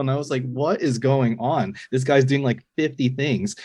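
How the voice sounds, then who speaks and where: At a moderate pace, a man at medium pitch talks in an unremarkable speaking voice. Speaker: filmmaker. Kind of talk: interview chat.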